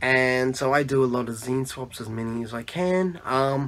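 The speaker is a man. His accent is Australian. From Australia, Melbourne. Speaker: zine maker; podcast interviewee. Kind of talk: self-introduction monologue. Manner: halting, many fillers. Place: home room. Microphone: phone near.

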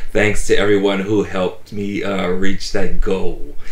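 A man's voice with audible room echo. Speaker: toy collector vlogger. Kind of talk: casual vlog chat. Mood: warm, grateful. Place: home room.

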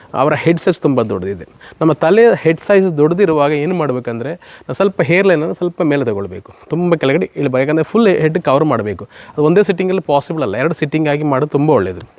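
Here a man speaks with lively intonation. His pitch is fairly high. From Kasaragod, Kerala, India. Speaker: hair transplant YouTuber. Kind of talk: promotional vlog.

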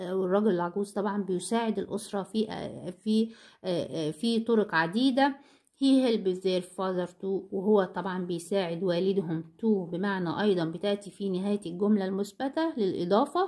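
A woman with an Egyptian accent speaks at medium pitch and a fairly slow pace in a dark, mellow tone. The recording is very clean, with a silent background. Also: ordinary pitch variation. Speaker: English teacher. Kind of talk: lecture. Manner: slow, repeating each word.

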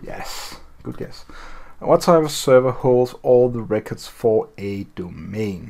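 A man with a non-native accent talks very slowly. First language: not English. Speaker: tutorial video creator. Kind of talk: tutorial walkthrough. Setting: screen recording voiceover. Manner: casual, hesitant with fillers. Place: home room.

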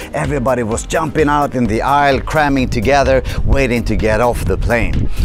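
Speaking fairly quickly with a Swedish accent, a man keeps a medium pitch with ordinary variation, the sound dry with no echo and noticeable background noise. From Sweden. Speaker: motivational speaker. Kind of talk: vlog monologue. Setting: hotel on the Swedish west coast. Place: street. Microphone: lapel.

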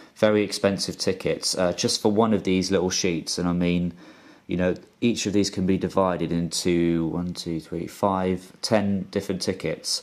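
A man speaks in a flat monotone at a moderate pace. His pitch is very deep and low. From UK. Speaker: YouTuber. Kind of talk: casual video monologue. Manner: hesitant, with fillers. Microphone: phone near.

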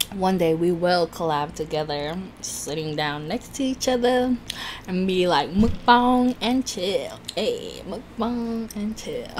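A woman at a very slow pace with lively intonation, light background noise behind her. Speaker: food YouTuber. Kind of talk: mukbang eating video, casual talk to camera. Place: home room.

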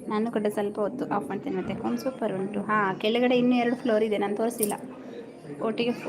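A woman speaks with fairly even intonation at a fairly high pitch. Noticeable background noise can be heard. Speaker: live-stream host. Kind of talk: casual live-stream chat with viewers. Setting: house-warming function at home.

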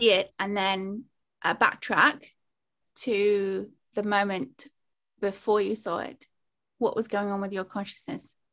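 In a British accent, a woman speaks at a fairly slow pace with fairly even intonation and long, frequent pauses against a quiet background. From United Kingdom. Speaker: meditation instructor. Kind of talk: interview show host questions. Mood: playful, cheerful. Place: home room. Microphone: video call.

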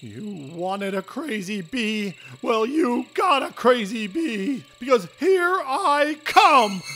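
In a cartoonish character voice, a man speaks at an extremely high pitch and a very slow pace, with hardly any pauses. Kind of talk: comic overacting. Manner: indignant, rising to shouting fury.

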